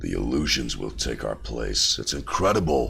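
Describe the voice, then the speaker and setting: A man does a raspy, put-on character voice at a moderate pace. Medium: game stream.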